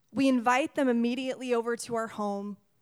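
A loud woman's voice with a high pitch. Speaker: missionary. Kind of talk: sermon. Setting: church.

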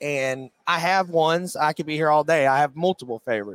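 Using a normal speaking voice, a man with an American accent talks at a moderate pace, his fairly high pitch varying normally. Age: 20s. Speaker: race car driver. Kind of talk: interview. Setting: trade show floor.

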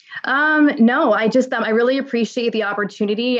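A woman speaks at a moderate pace with a New York accent. Her pitch sits fairly high. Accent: New York American. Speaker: fashion influencer and brand founder. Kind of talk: interview.

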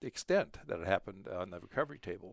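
Vocal fry runs through this man's fairly quick speech. The recording is very clean, with a silent background. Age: 60s. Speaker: heart surgery patient sharing faith. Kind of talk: personal testimony. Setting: studio. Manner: halting.

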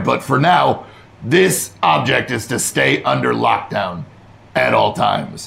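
A man's raspy, put-on character voice, fairly low in pitch, at a fairly slow pace. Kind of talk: military. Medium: actual play. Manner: curt, commanding.

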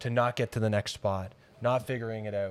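The pace here is fairly slow. A man's pitch shows ordinary variation. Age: 30s. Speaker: fitness business owner and coach. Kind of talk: interview.

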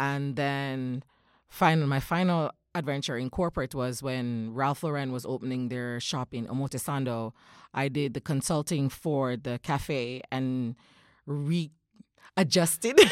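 A woman speaks at a fairly slow pace in a very deep, low voice with ordinary pitch variation, recorded dry and close with no echo on a very clean, silent background. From Jamaica, countryside. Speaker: mother and former recruiter. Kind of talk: casual chat. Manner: animated.

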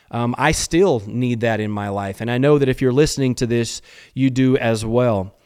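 This man has an unremarkable speaking voice, a medium pitch, ordinary pitch variation and a moderate pace. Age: 50s. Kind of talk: solo motivational talk. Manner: frequent fillers and repetitions.

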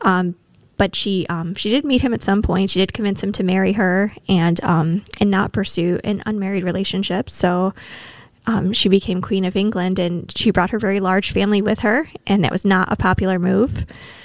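In an American accent, a woman with medium pitch, fairly even intonation and an ordinary speaking voice talks at a moderate pace. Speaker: librarian guest. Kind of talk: casual chat about books.

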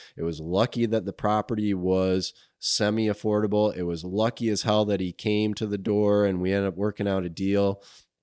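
A man with an American accent speaks at a moderate pace and a fairly low pitch. The recording is very clean, with a silent background. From Grand Rapids, Michigan. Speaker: cannabis dispensary owner. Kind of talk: casual interview.

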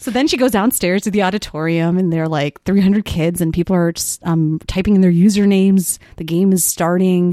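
A woman with a Chicago accent talks at a fairly quick pace with hardly any pauses. Her tone is dark and mellow, and the sound is dry and close with no echo. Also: medium pitch for a woman. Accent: Chicago-area American. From US Midwest, Wheeling, Illinois (Chicago suburbs). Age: 20s. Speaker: high school teacher. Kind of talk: casual chat. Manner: animated.

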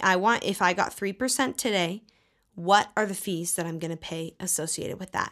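A woman with a medium-pitched voice and vocal fry speaks at a fairly quick pace with ordinary pitch variation, on a very clean recording with a silent background. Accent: American. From US South, Texas. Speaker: podcast co-host. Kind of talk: casual chat.

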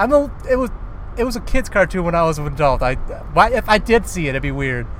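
Swinging very widely in pitch, a man talks at a very fast pace over noticeable background noise. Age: 40s. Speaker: podcast co-host. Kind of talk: casual chat. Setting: in a car.

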